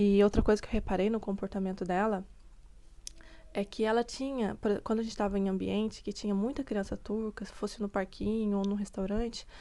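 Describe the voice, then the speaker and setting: Her voice has a dark, mellow tone and a medium pitch for a woman, moving at a fairly quick pace with monotone, flat intonation. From Brazil. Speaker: vlogger, mother. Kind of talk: casual vlog talk. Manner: conversational, hesitant.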